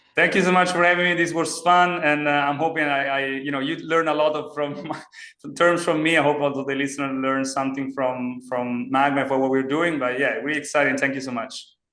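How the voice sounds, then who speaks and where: A man with a fairly high voice talks at a fairly quick pace, with hardly any pauses. His intonation stays fairly even, and room echo is audible. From Italy. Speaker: startup CEO and engineer. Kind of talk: podcast interview. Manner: halting.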